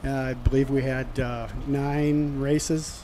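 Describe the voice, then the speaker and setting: Audible room echo surrounds a man of medium pitch who speaks at a very slow pace with a slight Minnesota accent. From southern Minnesota. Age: 60s. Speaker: race announcer. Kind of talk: radio interview.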